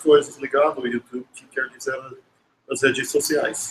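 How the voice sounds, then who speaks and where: A man speaks at a fairly slow pace in a fairly high pitch. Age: 60s. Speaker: professor. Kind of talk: lecture. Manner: halting, with many restarts.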